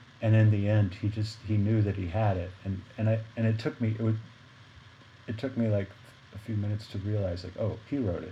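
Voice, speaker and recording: Somewhat breathy and dark, mellow in tone, a man speaks at a fairly low pitch and a fairly quick pace with fairly even intonation. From Arkansas, US South. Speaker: jazz saxophonist. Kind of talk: casual interview conversation.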